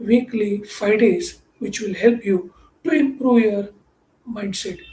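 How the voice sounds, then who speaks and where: The speaker talks at a fairly slow pace with a Marathi accent. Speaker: mindset coach. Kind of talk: motivational talk.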